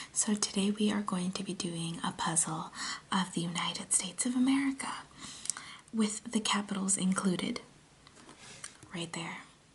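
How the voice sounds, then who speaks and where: Soft-spoken speech at a moderate pace, broken by long, frequent pauses, is heard over noticeable background noise. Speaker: ASMR content creator. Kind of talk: casual talk to camera, ASMR puzzle video.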